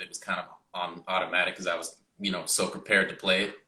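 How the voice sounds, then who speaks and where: A man is speaking. His pace is fairly quick. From Canada, Mississauga Ontario. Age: young. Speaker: music student, trumpet player. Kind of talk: interview. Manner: halting, many fillers.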